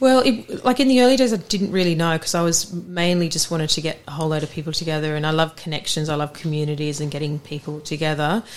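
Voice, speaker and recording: With hardly any pauses, a woman rushes along at a very fast pace, her fairly low pitch carried by lively intonation. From Australia. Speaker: art consultancy founder. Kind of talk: casual interview chat. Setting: office.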